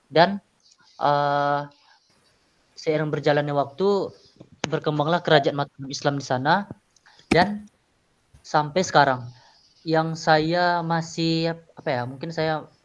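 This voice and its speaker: Speaking at a very slow pace with long, frequent pauses, a man with a fairly high voice keeps a fairly even intonation. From Riau, Sumatra. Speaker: exchange university student. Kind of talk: class presentation. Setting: video call. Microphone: phone.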